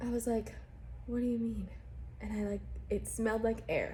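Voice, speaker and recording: A woman speaks with audible room echo. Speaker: vlogger. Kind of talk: casual vlog update. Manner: chatty, many fillers.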